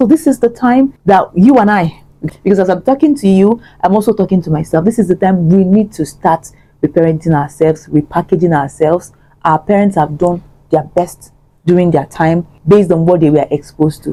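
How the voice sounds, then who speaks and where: A woman speaks at a fairly quick pace with lively intonation. Her pitch is fairly low and her tone dark and mellow. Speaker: vlogger. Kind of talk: motivational talk to camera. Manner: fast; code-switching English and Igbo.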